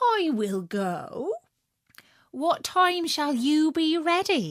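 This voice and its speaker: A woman's extremely high, put-on character voice, very slow, with very wide pitch swings. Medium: read story. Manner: cheeky.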